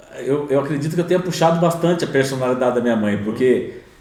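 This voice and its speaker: Very fast speech comes from a man with a fairly high pitch and lively intonation. There is audible room echo and noticeable background noise. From interior of São Paulo state, Brazil (Bauru). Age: 50s. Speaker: entrepreneur in construction. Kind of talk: podcast interview.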